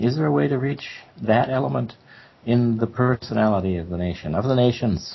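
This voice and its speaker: Somewhat breathy, the voice carries an American accent and lively intonation. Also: man, medium pitch for a man, fairly quick pace. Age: 70s. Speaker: professor. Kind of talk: interview discussion. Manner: halting.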